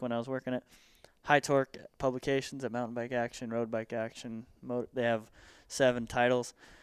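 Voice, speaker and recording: A man's medium-pitched voice in a Southern California accent, monotone and flat at a moderate pace, dry and close with no echo over a very clean, silent background. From US West Coast. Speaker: mountain bike media and industry worker. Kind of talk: casual interview.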